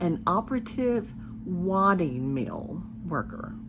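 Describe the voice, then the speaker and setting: Speaking very slowly, a woman with a Southern US accent lets her pitch swing very widely. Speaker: cross-stitch designer and video host. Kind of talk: casual vlog talk to viewers.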